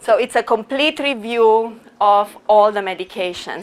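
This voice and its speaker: With noticeable background noise behind her, a woman with a Romanian accent speaks at a fairly high pitch and a fairly slow pace, her intonation lively. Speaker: professor. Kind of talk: lecture.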